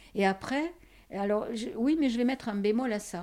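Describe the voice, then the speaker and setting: The delivery has lively intonation and a dark, mellow tone at a moderate pace. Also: woman. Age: 70s. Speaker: interviewee. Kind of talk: casual chat. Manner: halting.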